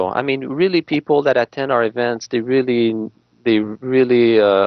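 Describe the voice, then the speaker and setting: A man speaks with a French Canadian accent. His pitch is medium. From Quebec, Canada (Montreal). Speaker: real estate agent. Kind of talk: interview. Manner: halting, many fillers.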